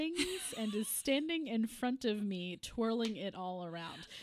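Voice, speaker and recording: At a fairly slow pace, a woman with an unremarkable speaking voice talks at a fairly high pitch with lively intonation. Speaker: podcast host. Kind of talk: casual chat.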